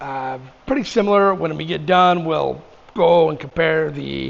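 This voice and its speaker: A man talks at a fairly slow pace. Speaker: motorcycle vlogger. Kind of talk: casual vlog talk. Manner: halting, with ums and ahs.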